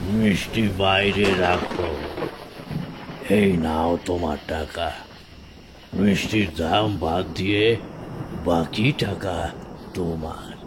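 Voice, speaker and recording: Over clear background noise, a cartoonish character voice talks at a very slow pace. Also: man, very deep, low pitch for a man. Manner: terse, detached.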